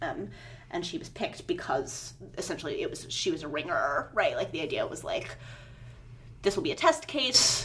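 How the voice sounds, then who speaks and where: A woman speaks with long, frequent pauses and big swings in loudness. Noticeable background noise can be heard. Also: moderate pace. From Virginia, US South. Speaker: poet. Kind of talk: interview. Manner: halting, with many repetitions and fillers.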